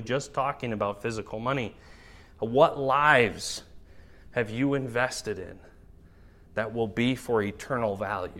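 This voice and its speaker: A man talks at a fairly slow pace with ordinary pitch variation. His tone is bright and sharp. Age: 30s. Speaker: pastor. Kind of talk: sermon.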